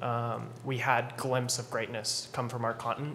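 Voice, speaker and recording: Light background noise behind a man's speaking voice. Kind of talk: interview answer. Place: hall. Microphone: podium.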